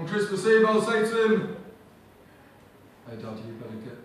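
A man speaks at a moderate pace amid strong room echo. Light background noise is also audible. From England. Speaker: poet, comedian. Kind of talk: spoken word poetry performance. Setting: live audience. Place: stage.

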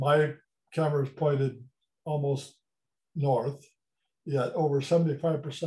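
This man's voice has a dark, mellow tone and a fairly high pitch. He talks very slowly, somewhat breathy, in a flat monotone. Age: 70s. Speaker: amateur meteor observer and programmer. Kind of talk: conference presentation. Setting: video call.

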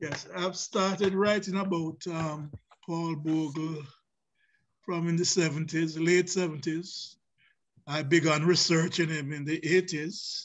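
A man with a Jamaican accent speaks very slowly in a fairly high pitch with fairly even intonation, with light background noise behind him. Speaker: professor and visual artist; professor guest. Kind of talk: panel discussion. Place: home room. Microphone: video call.

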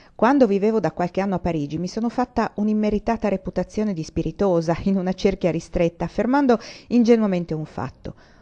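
Over a quiet background, a woman with a dark, mellow tone and medium pitch speaks at a very fast pace with ordinary pitch variation. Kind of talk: audiobook reading of a historical socio-economic treatise. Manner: measured, formal, even-paced literary narration.

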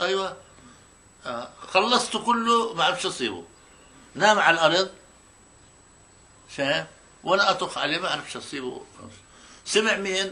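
A man's raised, projected voice, high-pitched with a bright, sharp tone, a Palestinian accent, lively intonation, a fairly slow pace and long, frequent pauses. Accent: Palestinian rural Arabic. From Palestine, Tira near Tulkarm. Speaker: Nakba witness. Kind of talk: oral history interview answer. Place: home room.

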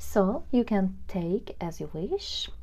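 The speaker has a gentle tone and a non-native accent. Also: woman. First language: not English. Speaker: tarot reader. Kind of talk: pick-a-card tarot reading to camera. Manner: casual, gentle, with filler words.

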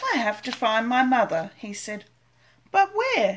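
A woman speaks at a very slow pace in a sing-song, gentle tone. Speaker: grandmother reading storybook aloud. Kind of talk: bedtime story reading aloud to a child, picture-book narration. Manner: slow, gentle, sing-song storytelling pace with repetition and small pauses; animated character voices, questioning tone for 'Are you my mother?'. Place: home room. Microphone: webcam.

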